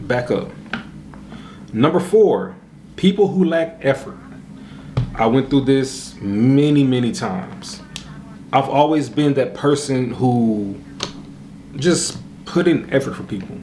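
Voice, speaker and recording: A man speaks very slowly at a medium pitch, with lively intonation and long, frequent pauses. Audible room echo and noticeable background noise fill the recording. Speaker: YouTuber. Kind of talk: casual vlog monologue. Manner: soft-spoken.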